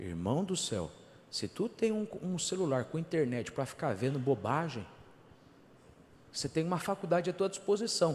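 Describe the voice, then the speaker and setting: A man with a fairly high pitch and vocal fry swings his pitch very widely, moving at a moderate pace with long, frequent pauses. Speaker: pastor. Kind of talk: sermon. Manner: animated.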